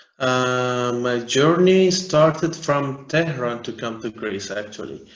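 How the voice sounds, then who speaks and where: A man speaks at a medium pitch and a very slow pace. Echo from the room is audible. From Iran and Afghanistan. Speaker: refugee and aid worker. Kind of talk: interview. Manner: halting.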